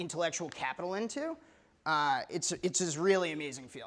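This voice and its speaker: A man talks with a fairly high pitch and ordinary pitch variation. His tone is bright and sharp. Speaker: writer and editor. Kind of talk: live talk to an audience.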